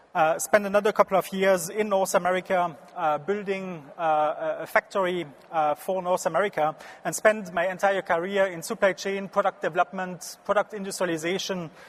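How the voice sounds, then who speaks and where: A man with a French accent and high pitch, fairly quick and fairly even in intonation, with a dry, close sound and no echo. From France, Strasbourg region. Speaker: business consultant. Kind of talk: conference talk. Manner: halting.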